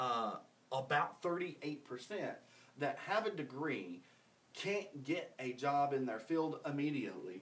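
A man with lively intonation, over noticeable background noise. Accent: American. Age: 30s. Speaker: podcast host. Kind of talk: casual chat.

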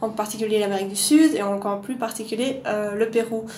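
A woman's fairly high voice, with fairly even intonation, comes through audible room echo and noticeable background noise. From Belgium, Louvain-la-Neuve. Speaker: archaeologist. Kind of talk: casual interview.

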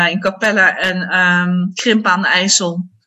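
A woman speaks at a very slow pace. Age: 30s. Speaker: primary school teacher. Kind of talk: casual interview.

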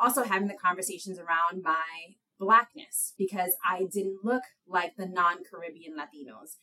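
With an American accent, a woman talks at a moderate pace in a bright, sharp tone, her medium pitch showing ordinary variation while her loudness swings widely. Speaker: lawyer. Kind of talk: casual interview.

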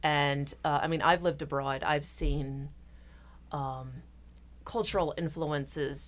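In a very clean recording with a silent background, a woman speaks. She has an American accent and a fairly slow pace. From Philadelphia. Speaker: interfaith nonprofit founder. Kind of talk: casual interview.

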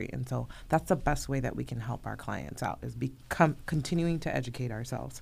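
Talking at a fairly quick pace, a woman leaves hardly any pauses. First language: Spanish. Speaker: realtor. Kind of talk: casual radio talk show. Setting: radio studio.

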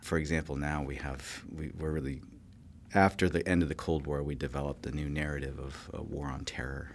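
A man with an American accent speaks fairly quickly in a very deep, low voice with vocal fry. His intonation is monotone and flat. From California. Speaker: political science professor. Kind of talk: interview. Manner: halting.

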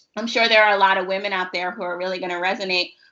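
A woman with an American accent has an unremarkable speaking voice, medium in pitch, with fairly even intonation. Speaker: podcast host. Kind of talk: casual interview chat.

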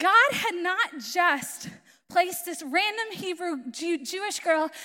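A raised, projected voice in an American accent, bright and sharp in tone, with lively intonation at a fairly slow pace. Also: woman. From Florida, US. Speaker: missionary. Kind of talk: sermon. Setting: church with audience.

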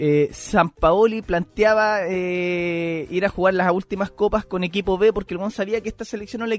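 Over music in the background, a man with a Chilean accent talks at a moderate pace in a high pitch, his intonation fairly even and hardly any pauses between words. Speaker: podcast co-host. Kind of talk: casual chat. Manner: halting, repeats words.

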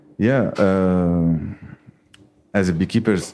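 At a moderate pace, a man speaks with a dark, mellow tone and a very deep, low pitch. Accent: Arabic. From Lebanon. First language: Arabic. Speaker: beekeeper and startup co-founder. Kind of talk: live podcast conversation. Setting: bookshop with live audience. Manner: halting.

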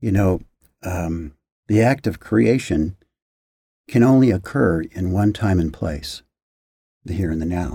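On a very clean recording with a silent background, a somewhat breathy man with a very deep, low pitch and a dark, mellow tone speaks at a very slow pace with long, frequent pauses. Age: 60s. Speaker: physician and health coach. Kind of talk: interview. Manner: halting.

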